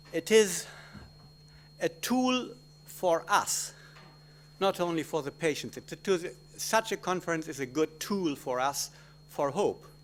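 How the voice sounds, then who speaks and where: Speaking with a German accent and lively intonation, a man uses a high pitch and leaves long, frequent pauses. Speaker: gynecologist obstetrician. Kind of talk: conference talk. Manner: halting.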